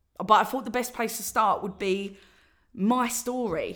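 A woman with an Essex accent speaks at a moderate pace in a very clean recording with a silent background. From Essex, England. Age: 30s. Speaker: podcast host and spoken word artist. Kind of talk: solo podcast monologue. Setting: recording alone at home. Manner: hesitant, many fillers.

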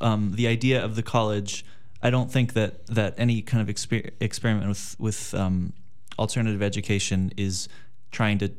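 In a room with audible echo, a man talks at a moderate speed in a fairly low voice. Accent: American. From Los Angeles, California. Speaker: college student. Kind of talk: interview conversation.

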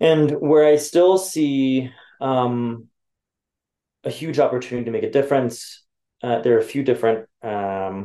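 A man with a dark, mellow tone speaks at a medium pitch and a moderate pace, with ordinary pitch variation. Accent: Californian. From US, Los Angeles. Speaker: venture capital investor. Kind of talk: interview. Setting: office. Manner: hesitant, many fillers.

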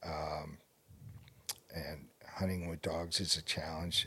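A man talks at a fairly slow pace in a very deep, low voice with a bright, sharp tone and flat, monotone intonation. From Maine. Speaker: wildlife biologist. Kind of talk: casual interview. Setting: in person at his lodge.

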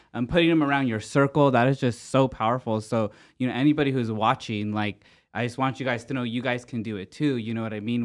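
A man with a plain, everyday voice speaks at a fairly quick pace and a medium pitch. His intonation stays fairly even over a quiet background. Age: 30s. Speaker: podcast co-host. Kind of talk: casual interview chat.

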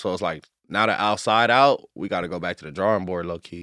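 An unremarkable speaking voice, fairly low, comes from a man talking at a fairly quick pace with ordinary pitch variation in a very clean, dry, close recording with a silent background and no echo. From Inglewood, Los Angeles. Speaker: rapper. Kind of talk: interview.

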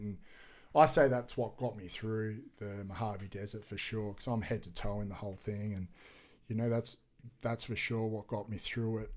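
A man with an Australian accent, fairly low in pitch, at a moderate pace and with fairly even intonation. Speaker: adventure athlete and author. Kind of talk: casual interview chat.

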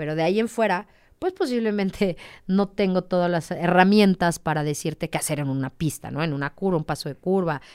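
With an ordinary speaking voice, a woman talks at a fairly quick pace and a fairly low pitch with ordinary pitch variation, in a very clean recording with a silent background. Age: 30s. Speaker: motorcycle racer. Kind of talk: interview.

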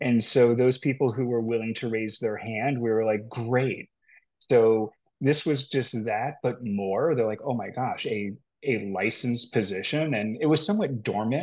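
A man with an unremarkable speaking voice, medium pitch, ordinary pitch variation and a moderate pace, against a quiet background. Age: 50s. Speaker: healthcare HR executive. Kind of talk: casual chat.

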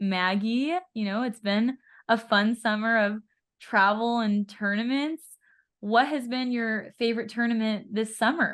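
With a Californian accent, a woman talks at a fairly slow pace. Her fairly high voice keeps a fairly even intonation. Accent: General American, Californian. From Southern California. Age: 20s. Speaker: podcast host and pro pickleball player. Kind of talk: casual chat; scripted narration.

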